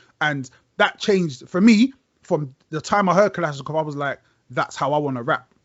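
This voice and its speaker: A man with a London accent talks at a moderate pace, his pitch fairly high for a man. His intonation is lively. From South London, Brixton. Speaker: rapper. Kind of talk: casual chat. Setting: video call.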